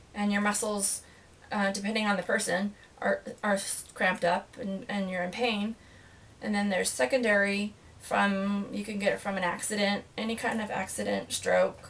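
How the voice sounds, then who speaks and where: Noticeable background noise sits behind a woman with a medium pitch. She speaks at a moderate pace with fairly even intonation. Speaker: stroke survivor. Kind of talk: interview. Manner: halting.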